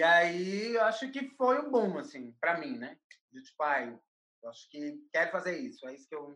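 A woman with a medium pitch talks at a moderate pace, with very wide pitch swings and big swings in loudness. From Brazil, Recife (Pernambuco). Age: 20s. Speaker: curator and artist. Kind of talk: interview.

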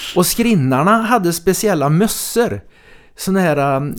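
A man speaks at a moderate pace with lively intonation in an unremarkable speaking voice, on a very clean recording with a silent background. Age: 60s. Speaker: podcast host. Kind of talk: casual chat. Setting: studio.

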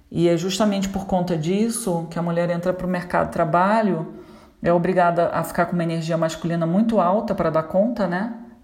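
A woman's fairly low voice and fairly even intonation, with audible room echo and noticeable background noise. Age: 40s. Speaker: therapist. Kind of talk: solo vlog monologue. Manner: conversational, frequent hesitations.

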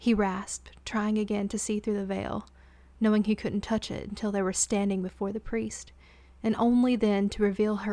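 The speaker delivers a plain reading aloud.

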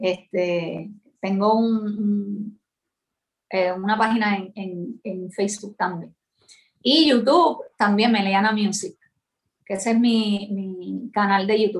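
In a Puerto Rican accent, a woman speaks very slowly with long, frequent pauses. Her voice is somewhat breathy, with ordinary pitch variation. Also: medium pitch for a woman. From Puerto Rico, San Juan. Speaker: singer-songwriter and music teacher. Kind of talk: interview. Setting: video call. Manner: halting.

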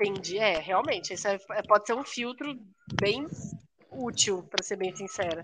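Lively intonation marks a woman's medium-pitched voice at a moderate pace. She takes long, frequent pauses. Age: 30s. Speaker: podcast co-host. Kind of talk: casual chat.

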